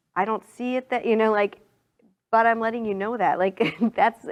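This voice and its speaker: A woman with a Minnesotan accent speaks at a moderate pace with ordinary pitch variation. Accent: Minnesota. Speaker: singer-songwriter. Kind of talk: casual interview. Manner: animated.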